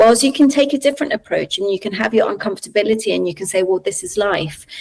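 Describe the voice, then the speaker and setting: Talking at a very fast pace, a woman uses lively intonation. She has a London accent and a fairly high pitch. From Colombia, raised in London from childhood. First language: Spanish. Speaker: researcher. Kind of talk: podcast interview. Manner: hesitant, many fillers.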